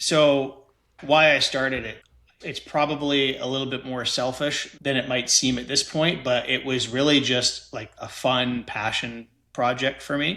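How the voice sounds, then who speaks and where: In a Canadian accent, a man with medium pitch and a bright, sharp tone speaks at a fairly slow pace on a very clean recording with a silent background. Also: fairly even intonation. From Canada. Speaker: estate lawyer. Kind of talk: podcast interview.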